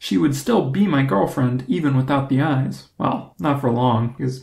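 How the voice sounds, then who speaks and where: A man's somewhat breathy, medium-pitched voice at a fairly slow pace, with ordinary pitch variation. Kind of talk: comedic storytelling monologue.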